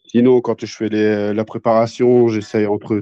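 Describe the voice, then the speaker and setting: A man's voice at medium pitch, dark and mellow in tone, monotone and flat, very slow, dry and close with no echo. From northern France (Béthune area), later Toulouse. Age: 40s. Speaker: professional MMA fighter and gym owner. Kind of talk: casual interview.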